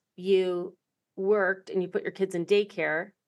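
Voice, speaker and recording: A woman talks at a moderate pace in an ordinary speaking voice with a medium pitch. Her intonation is fairly even, and the background is quiet. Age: 50s. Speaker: podcast host. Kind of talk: interview.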